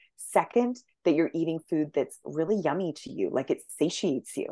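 A woman with a normal speaking voice talks at a fairly low pitch and a moderate pace. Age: 40s. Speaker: naturopathic doctor. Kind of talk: casual chat.

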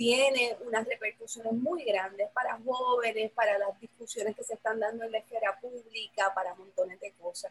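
A woman with a fairly high pitch, an ordinary speaking voice, ordinary pitch variation and a moderate pace. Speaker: professor and program coordinator. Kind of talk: casual chat.

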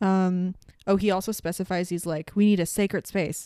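This woman talks at a moderate pace in a medium pitch with fairly even intonation, the recording very clean and silent behind her, the sound dry and close with no echo. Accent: slight Canadian. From Canada. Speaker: podcast host. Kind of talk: casual chat.

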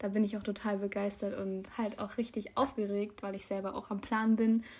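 Somewhat breathy and at a medium pitch, a woman speaks at a moderate pace with monotone, flat intonation. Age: young. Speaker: podcast co-host. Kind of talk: casual chat.

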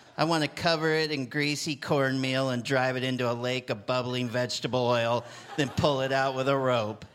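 An ordinary speaking voice from a man, medium in pitch, moderate in pace, with fairly even intonation. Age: 40s. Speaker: poet. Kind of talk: comic poetry reading. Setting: stage with audience.

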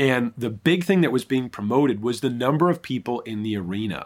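A man's normal speaking voice at medium pitch, with an American accent and a fairly quick pace, in a very clean recording with a silent background. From Michigan. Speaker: pastor. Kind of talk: podcast interview.

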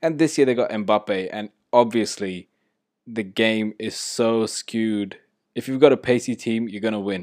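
A man speaks at medium pitch and moderate pace with ordinary pitch variation, in a normal speaking voice. The recording is very clean with a silent background and a dry, close sound with no echo. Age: 30s. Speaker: football podcaster. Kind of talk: casual solo podcast. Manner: casual, filler-heavy.

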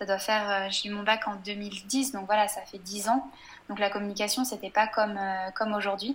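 A woman's somewhat breathy voice, monotone and flat in intonation. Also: medium pitch for a woman, moderate pace. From western France, Angers. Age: 20s. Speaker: blogger. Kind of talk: casual interview. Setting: video call.

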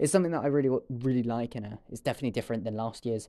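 A man's medium-pitched voice, dark and mellow in tone, at a very fast pace on a very clean recording with a silent background. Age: 20s. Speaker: podcast host. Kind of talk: solo podcast monologue, casual. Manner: halting, many filler words.

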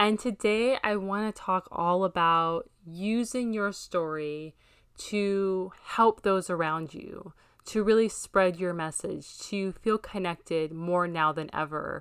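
A woman speaks very slowly at a medium pitch, with ordinary pitch variation and big swings in loudness. The recording is very clean, with a silent background. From Hawaii, Maui. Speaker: podcast host, business coach. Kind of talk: personal monologue podcast.

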